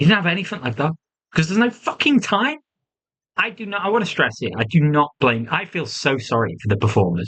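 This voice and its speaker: A man with a British accent talks at a fairly quick pace in an animated tone with lively intonation. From UK. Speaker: wrestling reviewer. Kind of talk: solo review monologue.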